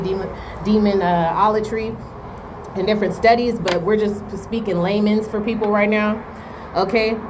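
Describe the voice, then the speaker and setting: A woman of medium pitch talks with fairly even intonation, with audible room echo and noticeable background noise. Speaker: spiritual advisor / oracle reader. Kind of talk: spiritual talk to camera. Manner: fast; casual, many fillers like right and okay.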